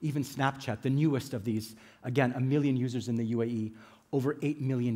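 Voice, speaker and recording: A man with an American accent, medium pitch, a dark, mellow tone and a very fast pace, on a very clean recording with a silent background. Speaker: conference speaker, business executive. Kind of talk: conference talk. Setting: stage with audience.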